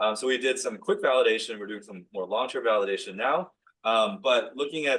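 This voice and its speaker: Words come from a man at a very fast pace. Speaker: professor and physician scientist. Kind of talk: lecture. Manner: casual with many fillers.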